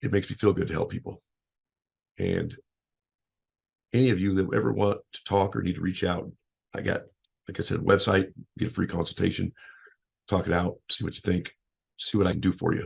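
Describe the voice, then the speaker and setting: Long, frequent pauses break up this man's fairly quick speech. His pitch is fairly low, with ordinary variation. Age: 50s. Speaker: motivational speaker and life coach. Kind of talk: casual podcast monologue. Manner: loud.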